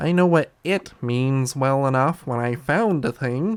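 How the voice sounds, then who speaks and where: A man's put-on character voice at a medium pitch and fairly slow pace. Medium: read story.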